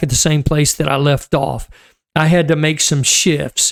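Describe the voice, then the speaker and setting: A man talks at a fairly slow pace in a plain, everyday voice, pitched fairly high. The sound is dry and close, with no echo. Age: 60s. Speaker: marriage coach. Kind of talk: casual talk to camera. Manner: conversational with fillers.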